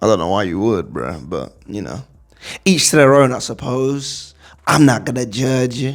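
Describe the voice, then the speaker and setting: A man speaks at a fairly slow pace. His voice has vocal fry. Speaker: school youth chaplain. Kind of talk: casual vlog talk. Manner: animated.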